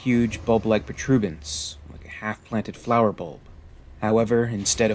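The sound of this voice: The passage is read in an unforced reading voice.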